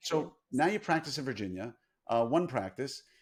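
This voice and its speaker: A man with a New York accent, medium in pitch, fairly quick, with lively intonation on a very clean recording with a silent background. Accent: flattened New York. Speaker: podcast host, dentist. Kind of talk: podcast interview.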